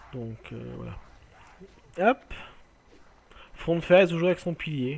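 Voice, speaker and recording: The delivery comes at a very slow pace with lively intonation. Loudness swings widely throughout. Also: man, fairly high pitch for a man. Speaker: gaming video creator. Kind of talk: let's play commentary. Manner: halting.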